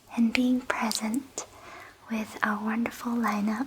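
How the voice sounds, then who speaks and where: A calm, soothing tone at a fairly slow pace, with monotone, flat intonation over noticeable background noise. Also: woman. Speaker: ASMR artist and virtual festival guide. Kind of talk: welcoming festival guide introduction, calm and soothing. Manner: calm, soft-spoken, soothing.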